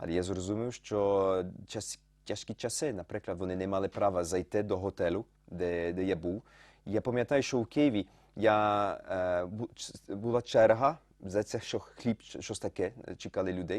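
A man speaks at a moderate pace in a fairly low pitch with ordinary pitch variation, the sound dry and close with no echo against a quiet background. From France, Lyon. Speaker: photographer. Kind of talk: interview. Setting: studio. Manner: halting.

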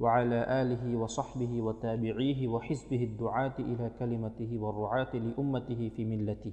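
This man's tone is dark and mellow. He speaks in a flat monotone. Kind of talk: reading of a classical religious text.

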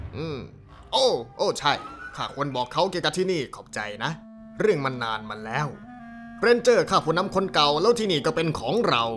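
A man's put-on character voice, fairly high in pitch, with clear music in the background. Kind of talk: fan dub of game cutscene. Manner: rambling, excitable.

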